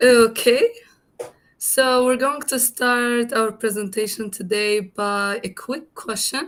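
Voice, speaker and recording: A woman with a high pitch and ordinary pitch variation talks at a very slow pace. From Tunisia. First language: Arabic. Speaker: guest lecturer, language instructor. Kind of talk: lecture.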